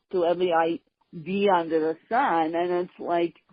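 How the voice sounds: A woman speaks at a fairly slow pace and fairly low pitch. Her intonation stays fairly even.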